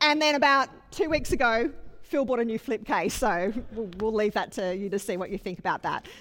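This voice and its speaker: An ordinary speaking voice at a fairly quick pace, with lively intonation. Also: woman, fairly high pitch for a woman. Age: 40s. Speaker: pastor. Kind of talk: sermon.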